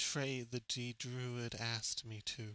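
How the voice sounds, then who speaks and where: Here a man puts on a character voice at medium pitch. He delivers it at a fairly slow pace. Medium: actual play. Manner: slow, deliberate, simple.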